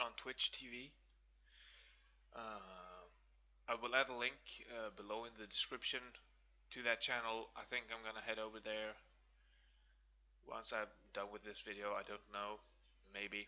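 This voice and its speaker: With a Swedish accent, a man of medium pitch speaks in a bright, sharp tone at a moderate pace, with monotone, flat intonation and long, frequent pauses. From Sweden. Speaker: gaming video creator. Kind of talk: gameplay commentary. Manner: casual, hesitant with many fillers.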